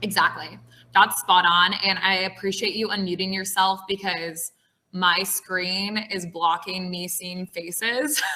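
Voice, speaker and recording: A woman's unremarkable speaking voice at a medium pitch, with fairly even intonation and a fairly slow pace. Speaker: tech recruiter. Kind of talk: online presentation.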